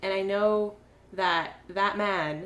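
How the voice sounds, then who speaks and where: A woman talks in an animated tone at a medium pitch. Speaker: podcast co-host. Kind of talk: casual chat. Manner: animated, ranting.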